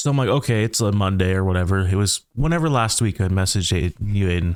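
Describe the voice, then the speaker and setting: Recorded very cleanly with a silent background and a dry, close sound with no echo, a man with a Canadian Prairies accent speaks very fast at a fairly low pitch with lively intonation. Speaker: podcast co-host, gamer. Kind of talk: casual chat.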